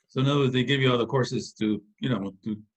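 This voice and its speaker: A man talks very fast at a medium pitch. His voice is somewhat breathy. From US West Coast, East Los Angeles. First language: Spanish. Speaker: engineer, organization founder. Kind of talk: interview. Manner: halting.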